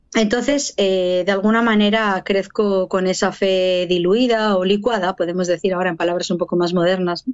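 A woman's plain, everyday voice, medium in pitch and fairly even in intonation, at a moderate pace with hardly any pauses. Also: very even loudness. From Basque Country, Spain (Barakaldo, Biscay). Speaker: pro-life activist and speaker, former abortion clinic worker. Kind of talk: testimony.

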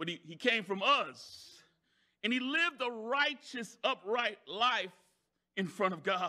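A man speaks in a raised, projected voice at a high pitch. His intonation is lively. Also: fairly slow pace. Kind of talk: sermon, preacher in full flow with call-and-response. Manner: builds momentum by asking the crowd for amens.

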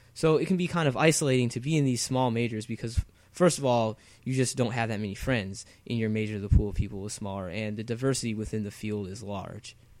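On a very clean recording with a silent background, a man of medium pitch speaks at a very fast pace with ordinary pitch variation. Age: 20s. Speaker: podcast co-host, university student. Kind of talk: casual chat.

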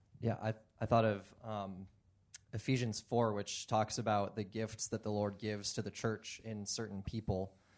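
This man talks in a monotone, flat intonation at a fairly low pitch, with an American accent. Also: moderate pace. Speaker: seminary student and Bible study leader. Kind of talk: panel discussion.

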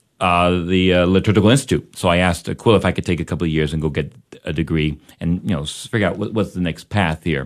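Over a quiet background, a man with a very deep, low pitch and ordinary pitch variation talks at a very fast pace. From Fort Worth, Texas. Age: 40s. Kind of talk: radio interview. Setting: radio studio.

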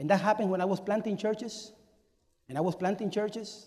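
A man is speaking. He talks with a Spanish accent. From Cuba. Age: 40s. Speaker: pastor. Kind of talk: sermon. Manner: animated.

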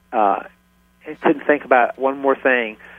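In a Southern US accent, a man talks at a fairly quick pace. His medium-pitched voice has ordinary pitch variation. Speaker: ministry founder. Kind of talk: radio interview.

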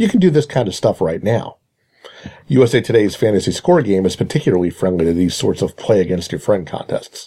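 A man speaks very fast in a somewhat breathy voice with a dark, mellow tone and very wide pitch swings. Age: 40s. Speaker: fantasy baseball columnist. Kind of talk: scripted narration.

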